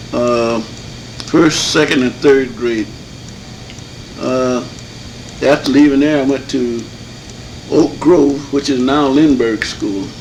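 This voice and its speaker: Against noticeable background noise, a man with a medium pitch speaks at a very slow pace, with long, frequent pauses and fairly even intonation. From Michigan, Muskegon Heights. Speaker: elder resident interviewee. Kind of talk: oral history interview. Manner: halting.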